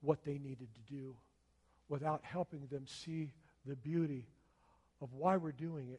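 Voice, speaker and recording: A dark, mellow, somewhat breathy voice at a moderate pace, with long, frequent pauses and big swings in loudness. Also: man. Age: 60s. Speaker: pastor. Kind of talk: sermon. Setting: church with congregation. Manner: animated.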